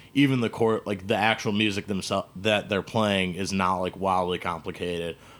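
Speaking in a plain, everyday voice, a man keeps a moderate pace with hardly any pauses. His pitch is fairly low and his intonation fairly even. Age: 30s. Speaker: podcast host. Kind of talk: casual chat. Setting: studio.

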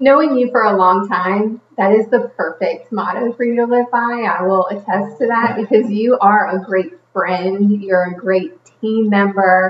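A woman speaks in a normal speaking voice, pitched fairly high. Her pace is fairly slow, with ordinary pitch variation. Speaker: podcast host. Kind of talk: casual interview chat. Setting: studio.

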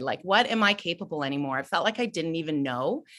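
On a very clean recording with a silent background, a woman with a Canadian accent speaks in very wide pitch swings. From Ontario, Canada. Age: 30s. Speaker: self-acceptance advocate. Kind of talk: interview. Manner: animated.

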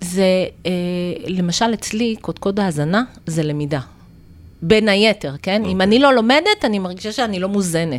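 The speaker is a woman with a medium pitch. Her intonation is lively. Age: 50s. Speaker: naturopath. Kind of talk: interview.

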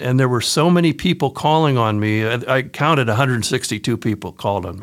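On a very clean recording with a silent background, a man with a Midwestern American accent talks fairly quickly at medium pitch with lively intonation. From central Ohio, US. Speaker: sales trainer and author. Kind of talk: casual interview.

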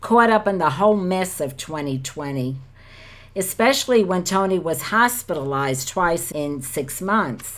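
A woman's ordinary speaking voice, fairly low in pitch. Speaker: podcast co-host. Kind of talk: scripture reading and devotional talk.

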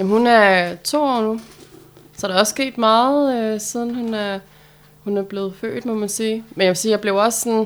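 A woman with an unremarkable speaking voice and a fairly high pitch speaks at a moderate pace with fairly even intonation. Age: 30s. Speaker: debut author. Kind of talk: casual interview.

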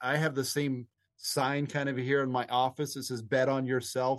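Someone with an American accent speaks in an unremarkable speaking voice at a moderate pace, with fairly even intonation and a quiet background. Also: man. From Nevada, US. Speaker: podcast co-host. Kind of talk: casual chat.

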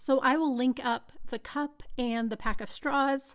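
In a very clean recording with a silent background, a woman speaks with an American accent at a high pitch. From Texas. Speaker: podcast host, small business owner. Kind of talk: solo podcast monologue. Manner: animated.

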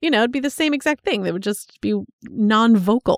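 A woman has a normal speaking voice, fairly high in pitch with ordinary variation. The sound is dry and close with no echo, and the recording is very clean against a silent background. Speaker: podcast co-host. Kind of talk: casual chat.

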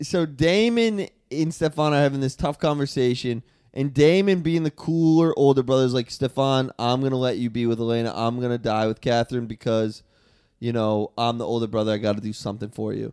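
A man's normal speaking voice with an American accent, medium pitch and ordinary pitch variation, at a fairly quick pace in a dry, close sound with no echo. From Boston. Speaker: comedian. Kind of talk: casual chat.

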